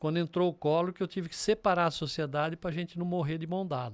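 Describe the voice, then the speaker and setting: In a very clean recording with a silent background, a normal speaking voice moves at a fairly quick pace. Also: man. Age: 60s. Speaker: business mentor and entrepreneur. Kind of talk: podcast interview.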